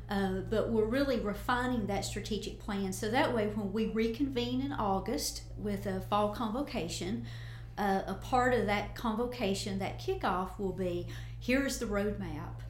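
With an Appalachian accent, a woman talks at a moderate pace over noticeable background noise and audible room echo. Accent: Southern US (Appalachian). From US South, Northeast Tennessee. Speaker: college president. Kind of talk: interview. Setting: studio.

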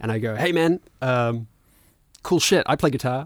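Someone with a New Zealand accent is heard on a very clean recording with a silent background. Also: man. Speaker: filmmaker and musician. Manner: relaxed, casual, filler-heavy.

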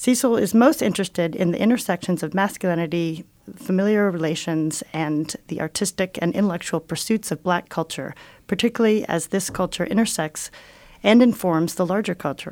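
A woman talks at a fairly quick pace in a medium pitch with ordinary pitch variation, an ordinary speaking voice on a very clean recording with a silent background. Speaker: museum director and podcast host. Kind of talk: interview conversation. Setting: radio station studio.

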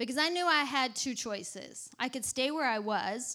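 In a very clean recording with a silent background, a woman with a Southern US accent speaks at a moderate pace with ordinary pitch variation. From Texas. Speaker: ministry leader and preacher. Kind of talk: sermon with personal testimony.

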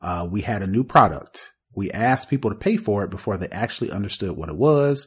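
This man's fairly low voice is somewhat breathy, with lively intonation at a fairly quick pace. The recording is very clean, with a silent background. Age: 40s. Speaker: tech podcast host. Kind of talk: casual chat. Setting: live video stream.

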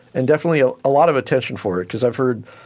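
With an American accent, this voice has vocal fry and lively intonation. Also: man. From California Central Valley. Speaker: podcast host. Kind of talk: casual interview.

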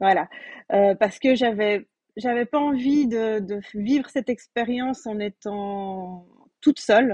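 Speaking at a very slow pace, a woman with a fairly high pitch and a dark, mellow tone uses ordinary pitch variation, recorded with a dry, close sound and no echo. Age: 30s. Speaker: pregnant coaching client, childcare educator. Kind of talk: testimony.

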